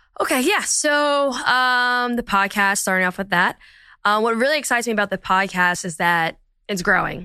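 A fairly high-pitched woman with an American accent, a bright, sharp tone and lively intonation at a moderate pace against a quiet background. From New Jersey, Philadelphia area. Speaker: podcast host. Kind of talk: interview.

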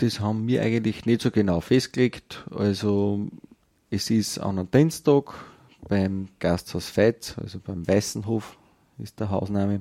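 Fairly low in pitch, a man speaks at a fairly slow pace in a dark, mellow tone with fairly even intonation. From Upper Austria, Kirchdorf an der Krems. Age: 30s. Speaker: folk dance group chairman and farmer. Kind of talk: radio interview. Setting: wine shop.

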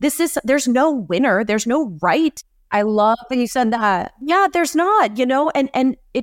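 Captured in a very clean recording with a silent background and a dry, close sound with no echo, a woman with an unremarkable speaking voice talks at a fairly quick pace with lively intonation. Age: 30s. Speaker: journalist and podcast host. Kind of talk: casual interview.

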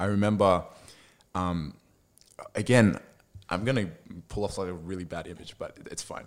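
A man speaks in an Australian accent at a moderate pace, his pitch very deep and low. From Sydney, Australia. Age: 20s. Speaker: church member sharing testimony. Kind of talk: casual chat and testimony.

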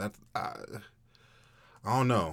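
A man speaks at a fairly slow pace with vocal fry. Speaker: guest co-host filling in. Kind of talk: casual chat. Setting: studio.

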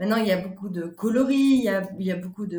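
At a fairly quick pace, a woman speaks at a medium pitch in a dark, mellow, somewhat breathy tone with ordinary pitch variation. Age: 40s. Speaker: shop founder. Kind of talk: interview. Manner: halting.

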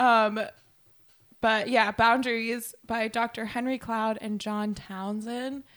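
A woman speaks at a very slow pace. Her fairly high pitch stays monotone and flat. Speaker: podcast co-host. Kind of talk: casual chat. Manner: halting, filler-heavy.

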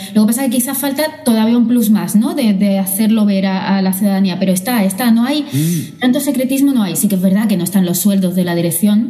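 Speaking at a fairly quick pace with hardly any pauses, a woman uses a medium pitch and ordinary pitch variation over noticeable background noise. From Andalusia, Málaga. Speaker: corporate lawyer. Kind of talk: casual interview. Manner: hesitant, many fillers.

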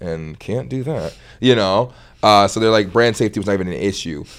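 This man has an unremarkable speaking voice, fairly low in pitch with ordinary pitch variation. He talks at a fairly quick pace. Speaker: comedic content creator. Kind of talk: casual chat.

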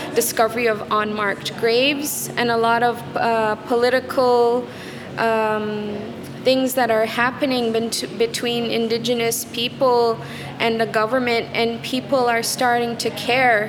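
With noticeable background noise and audible room echo, a woman speaks at a fairly slow pace in a high pitch, her intonation fairly even and her loudness very even. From Quebec, Canada (Kitigan Zibi, Algonquin community). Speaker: artist. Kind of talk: interview.

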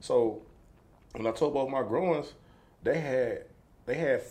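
A man talks in an East Texas accent. His pace is moderate. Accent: Southern US, East Texas. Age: 30s. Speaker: former pro football player and entrepreneur. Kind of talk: casual interview chat.

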